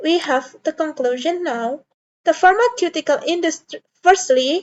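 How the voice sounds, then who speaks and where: At a moderate pace, a woman with an extremely high voice and a non-native accent speaks with lively intonation. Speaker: student. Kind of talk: class presentation. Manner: halting, with self-corrections.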